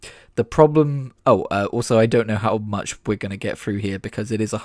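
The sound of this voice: What we hear is an unforced reading voice.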